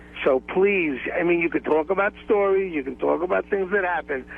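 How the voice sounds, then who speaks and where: A man has a fairly high pitch and lively intonation in an unremarkable speaking voice. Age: 60s. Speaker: lawyer. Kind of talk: phone-in call on a talk radio show. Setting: phone call.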